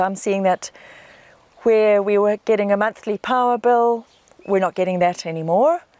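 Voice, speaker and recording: A woman speaks in a New Zealand accent with fairly even intonation. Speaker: off-grid homesteader. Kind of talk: casual interview.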